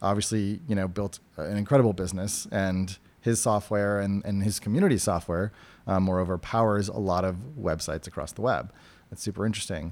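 A man with a plain, everyday voice speaks at a fairly quick pace and a fairly low pitch with ordinary pitch variation, on a very clean recording with a silent background. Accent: American. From New Hampshire, New England. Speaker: tech product lead. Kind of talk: interview.

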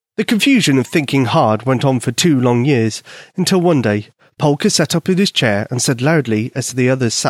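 Lively intonation marks an unforced reading voice.

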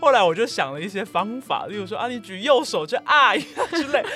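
Her pitch swinging very widely, a woman speaks with a Taiwanese accent. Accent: Taiwanese Mandarin. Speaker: Korean-Chinese interpreter and Korean teacher. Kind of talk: interview.

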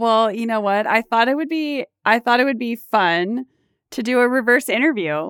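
A woman's voice with an American accent and ordinary pitch variation, dry and close with no echo, in a very clean recording with a silent background. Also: moderate pace. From US West Coast, Orange County, California. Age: 50s. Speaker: podcast host and leadership coach. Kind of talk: casual interview chat.

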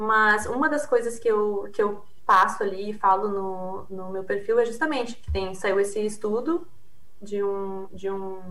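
A woman with a southern Brazilian accent talks at a fairly slow pace, her medium pitch varying in an ordinary way. Audible room echo and noticeable background noise fill the recording. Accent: southern Brazilian (gaúcho). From Brazil, Rio Grande do Sul. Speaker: PhD researcher on consumer behaviour. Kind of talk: interview.

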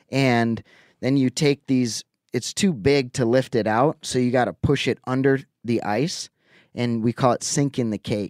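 In an Upper Midwest accent, a man talks at a medium pitch and a moderate pace with ordinary pitch variation. The sound is dry and close with no echo, on a very clean recording with a silent background. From Wisconsin, Lake Winnebago. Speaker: angler. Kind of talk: casual chat.

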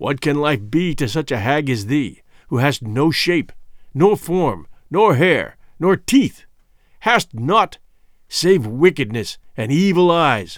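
Put-on character voice from a man, fairly high and fairly bright, with big pitch swings and a slow pace

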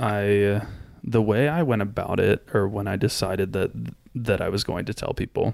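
A man with an American accent speaks in an ordinary speaking voice, fairly low in pitch, at a moderate pace with ordinary pitch variation. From US South, Florida. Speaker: podcast guest. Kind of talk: casual chat.

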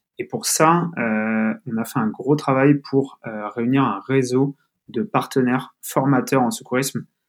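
Very slowly, a man speaks at a medium pitch with ordinary pitch variation. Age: 20s. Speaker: growth manager at a health tech startup. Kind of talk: interview. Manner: halting, many fillers and repetitions.

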